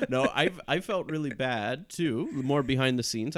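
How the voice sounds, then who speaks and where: A man's ordinary speaking voice, fairly high in pitch, at a moderate pace, on a very clean recording with a silent background. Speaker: actor. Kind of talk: casual chat.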